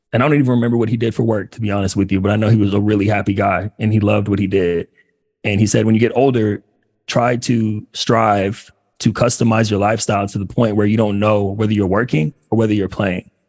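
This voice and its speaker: Speaking at a very fast pace, a man with an American accent uses a fairly low pitch. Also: fairly even intonation. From Los Angeles, US. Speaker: career coach for former athletes. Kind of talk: workshop talk.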